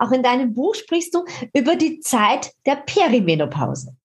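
A woman talks in a high pitch at a moderate pace. Her pitch swings very widely. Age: 50s. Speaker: podcast host and fitness author. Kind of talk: casual interview.

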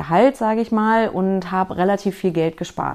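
A woman is speaking. She has a slight Berlin accent. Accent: slight Berlin-area. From small town near Berlin. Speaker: finance podcaster. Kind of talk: personal story monologue. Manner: hesitant, many fillers.

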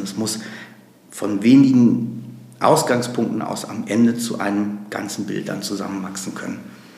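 With audible room echo and noticeable background noise, a man speaks at a fairly low pitch in a monotone, flat way. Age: 50s. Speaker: nonprofit executive, lawyer. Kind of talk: interview.

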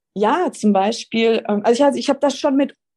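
A woman with a dark, mellow tone speaks at a fairly quick pace. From Swabia, southern Germany. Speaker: manifestation coach. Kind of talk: interview.

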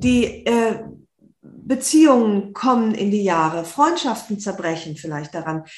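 A woman's normal speaking voice at a medium pitch, fairly slow, with lively intonation. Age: 50s. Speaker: author and journalist. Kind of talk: interview.

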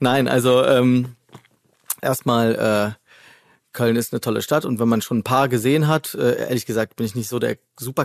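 In a very clean recording with a silent background and a dry, close sound with no echo, a man speaks at a medium pitch and moderate pace with fairly even intonation. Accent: slight Cologne. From Rhineland, Germany (Hennef). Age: 40s. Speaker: chef. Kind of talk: casual chat. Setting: studio.

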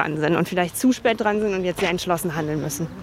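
A woman speaks over noticeable background noise. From Bavaria, Dachau near Munich. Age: 30s. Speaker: politician. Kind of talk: walking interview. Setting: outdoors.

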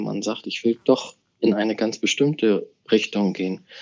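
This man has a plain, everyday voice pitched in the medium range. He talks at a moderate pace and his pitch varies in an ordinary way. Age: 40s. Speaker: bank executive. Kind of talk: interview.

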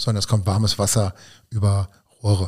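A man speaks with a dark, mellow tone. His pitch is fairly low and his pace fairly quick. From Hunsrück, Rhineland-Palatinate, Germany. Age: 50s. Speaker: energy company spokesperson. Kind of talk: podcast interview.

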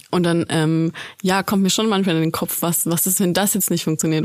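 A woman talks at a moderate pace with a fairly low pitch. Her intonation is fairly even, and there is noticeable background noise. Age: 20s. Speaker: student intern. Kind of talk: casual interview.

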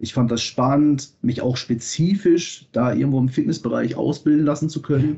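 This man's voice is fairly high-pitched and somewhat breathy. He moves at a moderate pace with ordinary pitch variation. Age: 30s. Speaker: fitness quality manager. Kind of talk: interview. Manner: hesitant fillers.

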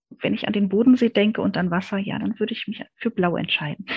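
Somewhat breathy, a woman speaks at a fairly high pitch with ordinary pitch variation. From East Berlin, Germany. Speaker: communication consultant and researcher. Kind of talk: interview.

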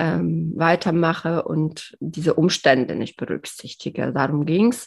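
In an ordinary speaking voice, a woman talks at a fairly slow pace with ordinary pitch variation against a quiet background. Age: 30s. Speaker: podcast co-host, fasting coach. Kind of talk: casual chat.

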